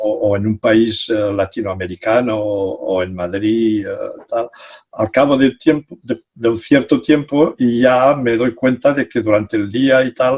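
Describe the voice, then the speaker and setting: This man talks at a fairly slow pace in a medium pitch with ordinary pitch variation. The sound is dry and close, with no echo. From Catalonia. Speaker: psychology professor. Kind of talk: interview. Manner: halting.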